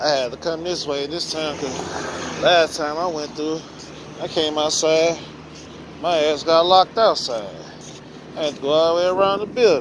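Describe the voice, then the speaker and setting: A man at a fairly slow pace, with long, frequent pauses, ordinary pitch variation, a dry sound with no echo and noticeable background noise. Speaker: vlogger. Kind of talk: casual vlog chat. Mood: joking, storytelling. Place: street. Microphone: phone near.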